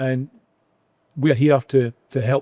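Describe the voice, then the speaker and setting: An ordinary speaking voice from a man at medium pitch, fairly even in intonation, with a dry, close sound and no echo. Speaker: podcast host. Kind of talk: podcast conversation.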